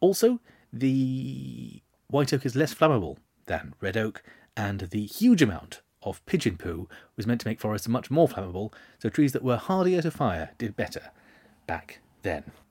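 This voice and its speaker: A man speaks with very wide pitch swings and vocal fry, leaving long, frequent pauses, on a very clean recording with a silent background. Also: medium pitch for a man, moderate pace. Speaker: history podcast host. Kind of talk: casual solo monologue.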